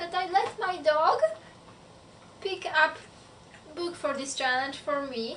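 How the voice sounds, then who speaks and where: With a non-native accent and an extremely high pitch, a woman speaks at a fairly slow pace, using ordinary pitch variation and long, frequent pauses. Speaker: book vlogger. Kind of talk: casual talk to camera.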